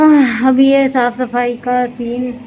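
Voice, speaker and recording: A woman's fairly high voice over music in the background. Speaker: family vlogger. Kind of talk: casual vlog talk to camera. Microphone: voice may record quietly.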